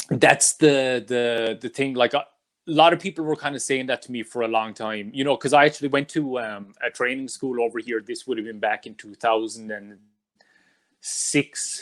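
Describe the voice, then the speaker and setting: With an Irish accent, a man speaks at a moderate pace and medium pitch, his pitch varying in an ordinary way while his loudness swings widely, in a dry, close sound with no echo. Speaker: wrestling podcast host. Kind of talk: interview. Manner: loud, enthusiastic.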